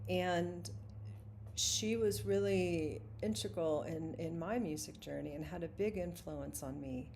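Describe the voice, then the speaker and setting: A woman's very deep, low pitch with very wide pitch swings, at a fairly slow pace amid audible room echo. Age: 60s. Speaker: singer-songwriter and vlogger. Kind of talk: live stream monologue. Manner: halting.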